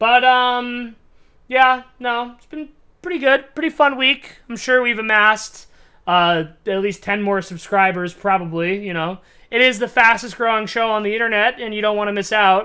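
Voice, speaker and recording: A loud, bright, sharp female voice, fairly high in pitch and moderate in pace, on a very clean recording with a silent background. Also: ordinary pitch variation. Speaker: comedy commentary youtuber. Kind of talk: casual monologue to camera. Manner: rambling with many fillers.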